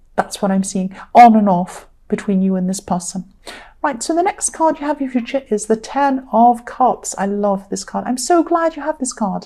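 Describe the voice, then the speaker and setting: Somewhat breathy with a dark, mellow tone, a woman speaks at a fairly high pitch and a moderate pace with lively intonation. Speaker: tarot reader. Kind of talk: tarot reading monologue. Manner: hesitant, many ums.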